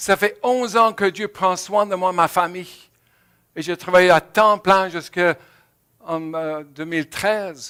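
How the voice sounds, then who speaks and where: The voice is raised and projected, with a bright, sharp tone. It moves at a very slow pace with fairly even intonation. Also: man, high pitch for a man, dry, close sound with no echo, very clean recording, silent background. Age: 70s. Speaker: pastor. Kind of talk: sermon. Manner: halting.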